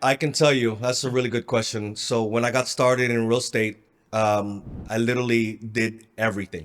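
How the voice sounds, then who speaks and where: A man with an American accent and a plain, everyday voice talks at a fairly quick pace and medium pitch. The recording is very clean, with a silent background. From Philippines, then Southern California from 16. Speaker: real estate investor. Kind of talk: interview.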